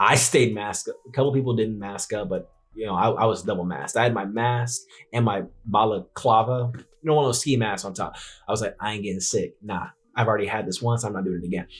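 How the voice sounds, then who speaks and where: An animated man with an American accent talks at a very fast pace, at medium pitch with ordinary pitch variation, and sounds somewhat breathy. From US West Coast, San Francisco Bay Area. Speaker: YouTuber, investing channel host. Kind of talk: casual vlog narration. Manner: halting, stuttering; casual, animated.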